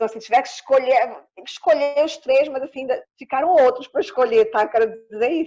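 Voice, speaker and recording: A woman talks at a fairly quick pace with hardly any pauses, her high voice dark and mellow in tone. Her pitch varies in an ordinary way while her loudness swings widely. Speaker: actress and clown. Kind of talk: interview. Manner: animated. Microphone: phone connection, poor internet.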